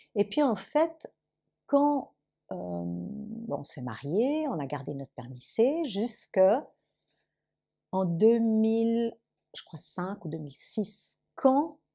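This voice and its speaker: A woman's medium-pitched, dark, mellow voice at a very slow pace, with very wide pitch swings, big swings in loudness and long, frequent pauses. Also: very clean recording, silent background. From Lausanne, Switzerland. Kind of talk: interview answer.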